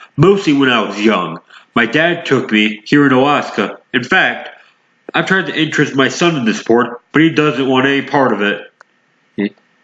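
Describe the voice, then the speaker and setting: Using a put-on character voice, a man at medium pitch speaks at a moderate pace with lively intonation. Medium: read story. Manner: calm.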